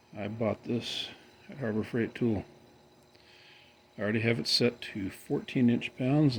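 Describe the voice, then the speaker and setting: Vocal fry runs through a man's relaxed tone. He talks at a fairly slow pace with ordinary pitch variation. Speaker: tech hobbyist youtuber. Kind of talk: build tutorial commentary. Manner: casual, relaxed.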